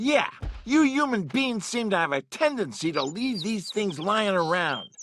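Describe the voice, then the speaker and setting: A put-on character voice, fairly high in pitch with very wide pitch swings, moves at a moderate pace against a quiet background. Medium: video game. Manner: easygoing, jokey.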